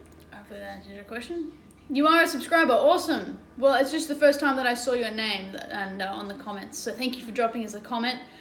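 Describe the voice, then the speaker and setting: In an Australian accent, a woman talks at a very fast pace with a high pitch, lively intonation and big swings in loudness, over noticeable background noise and audible room echo. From Sydney, Australia. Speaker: travel and adventure vlogger. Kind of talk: casual livestream chat.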